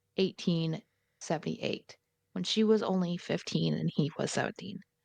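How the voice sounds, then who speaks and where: With a dry, close sound and no echo, a woman speaks at a medium pitch and a moderate pace, with vocal fry and ordinary pitch variation. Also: long, frequent pauses. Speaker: true crime podcast co-host. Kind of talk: casual podcast storytelling.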